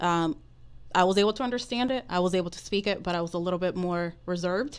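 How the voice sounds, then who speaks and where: Speaking at a fairly quick pace with a Dominican accent, this voice comes through on a very clean recording with a silent background. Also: woman. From Dominican Republic. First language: Spanish. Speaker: mortgage professional. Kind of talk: podcast interview.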